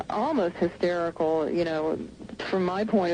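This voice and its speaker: Over noticeable background noise, a woman speaks at a moderate pace with a fairly low pitch and ordinary pitch variation. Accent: American. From Southern United States. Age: 30s. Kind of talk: radio interview answer. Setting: phone line.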